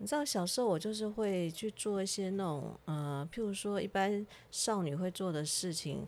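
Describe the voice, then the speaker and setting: A woman with a medium pitch talks at a moderate pace, with ordinary pitch variation and hardly any pauses. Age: 50s. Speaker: podcast host. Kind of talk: casual chat. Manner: animated.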